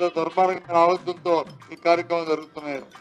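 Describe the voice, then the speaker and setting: Music sounds behind a man with a high pitch. His intonation is monotone and flat. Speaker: politician. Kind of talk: political speech to press. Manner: stammering.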